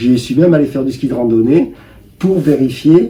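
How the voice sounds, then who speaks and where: Background noise is noticeable as a man talks at a fairly slow pace. His pitch is fairly high. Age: 70s. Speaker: cancer patient. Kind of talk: interview answer.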